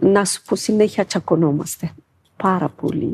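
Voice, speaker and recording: A woman speaks at medium pitch with a dark, mellow tone. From Ethiopia. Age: 50s. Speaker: dancer and shop worker. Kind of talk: interview. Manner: halting.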